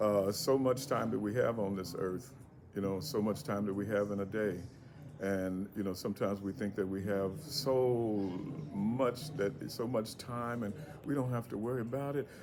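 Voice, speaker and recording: A fairly low-pitched man at a moderate pace with ordinary pitch variation, music in the background. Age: 60s. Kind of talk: public speech. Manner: halting, many repetitions.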